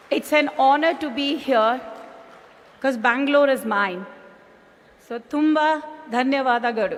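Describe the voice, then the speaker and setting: A high-pitched woman at a fairly slow pace, with long, frequent pauses, ordinary pitch variation, audible room echo and noticeable background noise. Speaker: business executive. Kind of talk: conference speech. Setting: stage with audience.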